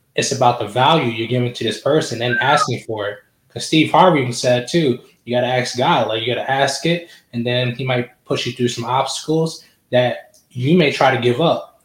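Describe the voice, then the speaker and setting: A man talks at a fairly quick pace with a medium pitch. His voice is somewhat breathy, with ordinary pitch variation. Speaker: podcast host. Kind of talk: casual interview chat. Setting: online video call.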